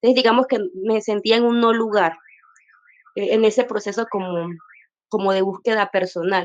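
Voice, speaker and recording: Pausing long and often, a woman with a fairly high pitch speaks at a moderate pace and with fairly even intonation. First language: Wayuunaiki (speaking Spanish). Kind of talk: personal testimony in panel discussion. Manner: hesitant, many fillers.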